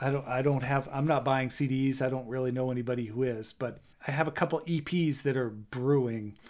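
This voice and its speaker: With an American accent, a man talks in a normal speaking voice at medium pitch, fairly quickly, with fairly even intonation and hardly any pauses. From Maine, US. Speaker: banjo player. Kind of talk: interview.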